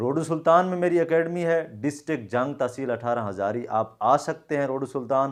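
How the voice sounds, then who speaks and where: Pitched fairly high, a man talks at a moderate pace with ordinary pitch variation and hardly any pauses against a quiet background. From Pakistan, Punjab (Jhang district). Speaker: Korean language teacher. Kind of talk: video address to viewers. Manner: informal, mixing Punjabi and Saraiki into Urdu.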